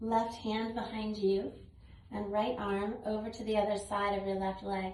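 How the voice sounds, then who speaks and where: In an American accent, a woman talks at a fairly slow pace and fairly high pitch with monotone, flat intonation, with audible room echo and noticeable background noise. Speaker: yoga instructor. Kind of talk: tutorial.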